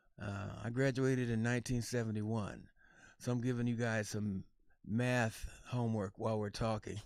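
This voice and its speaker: With an American accent, a man speaks at medium pitch and a moderate pace in a monotone, flat intonation, on a very clean recording with a silent background. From Kansas, US Midwest. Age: 60s. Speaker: jazz saxophonist and educator. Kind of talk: Q&A with children, casual talk. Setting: livestream. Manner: halting, many fillers.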